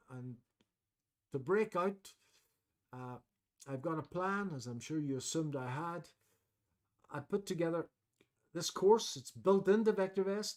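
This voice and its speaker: A man's high-pitched voice with big swings in loudness and long, frequent pauses. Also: fairly slow pace. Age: 60s. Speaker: trading educator. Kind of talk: webinar presentation. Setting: online webcast. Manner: hesitant, many fillers.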